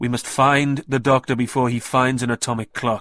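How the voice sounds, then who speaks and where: In a put-on character voice, a man speaks with hissing at a medium pitch, with monotone, flat intonation and a moderate pace. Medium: read story.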